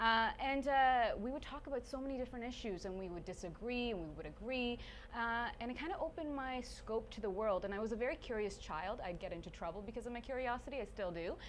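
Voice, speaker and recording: Talking at a very fast pace with lively intonation, a woman with a Canadian accent uses a fairly high pitch amid noticeable background noise and audible room echo. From Sweden, then Stratford, Ontario. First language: Swedish. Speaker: TV journalist and presenter. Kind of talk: casual interview. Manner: animated.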